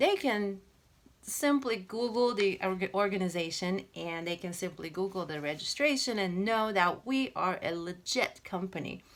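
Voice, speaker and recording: Lively intonation and a non-native accent come at a moderate pace on a very clean recording with a silent background. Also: woman, medium pitch for a woman. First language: not English. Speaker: credit repair business owner. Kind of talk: informational commentary video. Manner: halting, many fillers.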